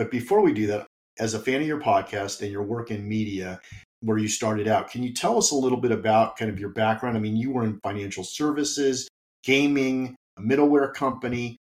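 With fairly even intonation, an unremarkable speaking voice goes along at a fairly quick pace. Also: man. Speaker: podcast host. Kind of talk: interview, conversational.

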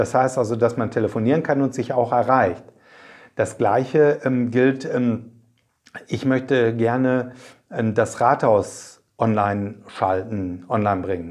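A man's medium-pitched voice moves at a very slow pace. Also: ordinary pitch variation. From Germany, Paderborn area (East Westphalia). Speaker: mayor and district administrator candidate. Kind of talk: interview.

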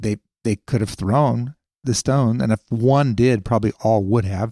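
A man has an unremarkable speaking voice at a medium pitch, with ordinary pitch variation. He talks at a fairly slow pace, and the sound is dry and close with no echo. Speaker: pastor. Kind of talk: teaching discussion podcast.

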